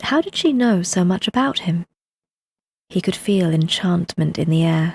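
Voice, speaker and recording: A woman with a British RP accent speaks in a calm, soothing tone at a fairly low pitch. Her voice is somewhat breathy, with a dry, close sound with no echo. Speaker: audiobook narrator. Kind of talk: bedtime story reading.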